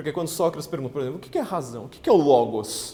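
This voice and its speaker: With audible room echo, a man speaks at a fairly high pitch with ordinary pitch variation. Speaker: political writer and lecturer. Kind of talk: lecture. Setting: stage with audience. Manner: fast; halting.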